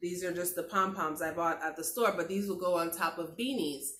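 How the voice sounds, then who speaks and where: A woman's fairly low voice with audible room echo. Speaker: lifestyle vlogger. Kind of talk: craft tutorial vlog.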